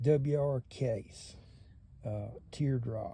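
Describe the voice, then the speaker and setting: Somewhat breathy and dark, mellow in tone, a man with a Southern US accent speaks at a medium pitch with lively intonation. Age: 60s. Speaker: knife collector YouTuber. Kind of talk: casual show-and-tell.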